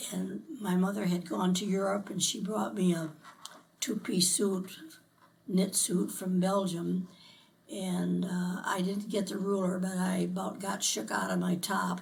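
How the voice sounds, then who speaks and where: In an American accent, a woman talks at a medium pitch with fairly even intonation. Room echo can be heard. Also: fairly slow pace. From US Midwest, Elmore, Ohio. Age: 90s. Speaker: local resident interviewed for oral history. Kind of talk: oral history interview. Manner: halting.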